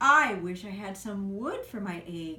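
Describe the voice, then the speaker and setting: Using a put-on character voice, a woman speaks at a medium pitch and a fairly slow pace. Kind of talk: bedtime story. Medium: read story.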